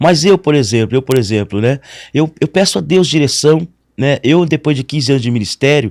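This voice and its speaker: Lively in intonation and fairly high-pitched, this man has an unremarkable speaking voice and a moderate pace. The recording is very clean and dry, with a silent background and no echo. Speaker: pastor. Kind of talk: interview.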